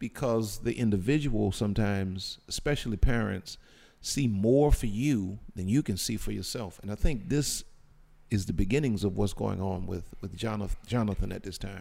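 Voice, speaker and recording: Using a dark, mellow tone, a man with a fairly low pitch speaks at a moderate pace with ordinary pitch variation. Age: 50s. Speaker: pastor. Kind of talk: casual chat.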